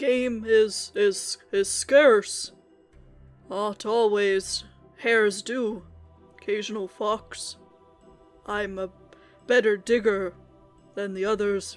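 Over faint background music, a female-sounding voice does a put-on character voice at a fairly high pitch, moving at a very slow pace with long, frequent pauses. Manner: blunt, terse.

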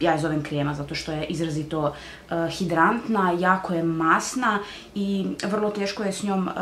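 A woman speaks at a moderate pace with ordinary pitch variation. Light background noise and audible room echo surround her voice. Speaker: beauty vlogger. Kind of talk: product review vlog chat. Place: home room. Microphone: camera far.

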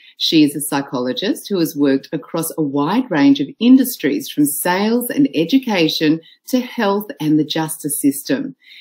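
A woman with an Australian accent, fairly low-pitched, at a moderate pace with hardly any pauses and very wide pitch swings. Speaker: conference MC. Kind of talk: event announcements. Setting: online conference.

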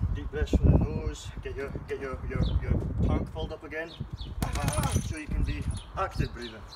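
A man's fairly quick speech over loud background noise. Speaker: boxing coach. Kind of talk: tutorial. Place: garden. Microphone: camera far.

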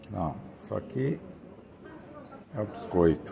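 Noticeable background noise sits behind a man who speaks fairly slowly. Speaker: travel vlogger. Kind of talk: casual vlog chat. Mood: pleased, relaxed. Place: cafe. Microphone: phone near.

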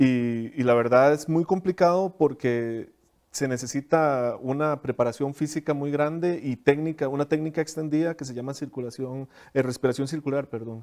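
The background is quiet as a man speaks at a moderate pace with a fairly high pitch. His intonation is fairly even, though his loudness swings widely. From Costa Rica, southern region. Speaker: principal oboist. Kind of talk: interview. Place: studio. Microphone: lapel.

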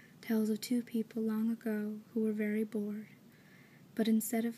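A soft-spoken woman, fairly high in pitch, with a dark, mellow, somewhat breathy tone, flat monotone delivery and a moderate pace, over light background noise. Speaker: ASMR reader. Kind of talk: soft-spoken book reading for ASMR. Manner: soft-spoken, quiet, relaxing.

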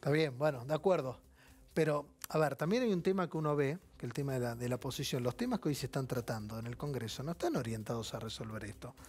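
A man with a Rioplatense accent, somewhat breathy, at a very fast pace with ordinary pitch variation. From Argentina. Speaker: TV finance show host. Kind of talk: TV interview. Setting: TV studio. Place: studio. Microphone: lapel.

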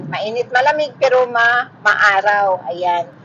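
This woman's intonation is lively. She talks at a fairly slow pace. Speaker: vlogger. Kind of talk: casual vlog talk. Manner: halting. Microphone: phone microphone.

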